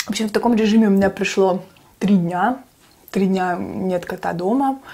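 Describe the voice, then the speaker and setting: Delivery is fairly brisk, and the intonation stays fairly level. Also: woman. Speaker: mukbang vlogger. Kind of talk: casual storytelling vlog chat. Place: kitchen.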